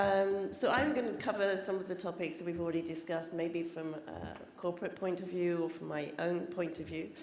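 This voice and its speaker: With audible room echo, a woman talks in a fairly low voice with ordinary pitch variation. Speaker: corporate trademark specialist. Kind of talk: conference presentation. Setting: conference stage with audience.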